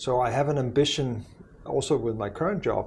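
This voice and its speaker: Delivery is at a moderate pace. The intonation is fairly even and the voice somewhat breathy. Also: man. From Denmark. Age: 60s. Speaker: university president. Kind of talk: podcast interview. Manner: hesitant, many fillers.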